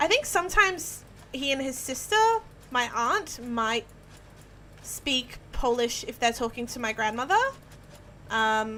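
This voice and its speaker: Her voice is high for a woman, with ordinary pitch variation and a moderate pace. She leaves long, frequent pauses. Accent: Australian. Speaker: video game streamer. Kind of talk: live stream commentary while gaming. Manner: animated.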